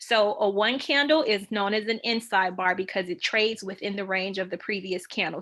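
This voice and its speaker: A woman's medium-pitched voice, bright and sharp in tone, at a fairly quick pace with ordinary pitch variation. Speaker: trading educator. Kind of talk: tutorial. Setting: video call with screen share. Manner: fast.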